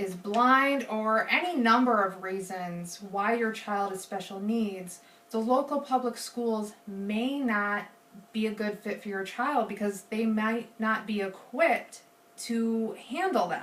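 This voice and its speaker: Noticeable background noise runs under a woman speaking at a very slow pace. Her pitch is fairly high, with ordinary pitch variation. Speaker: student. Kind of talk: persuasive presentation. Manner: halting, self-correcting.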